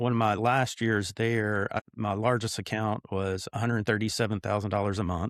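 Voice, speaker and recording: A man's fairly low, monotone and flat voice at a moderate pace with hardly any pauses, dry and close with no echo on a very clean recording with a silent background. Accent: Tennessee. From Tennessee. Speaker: business owner, CEO. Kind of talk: interview.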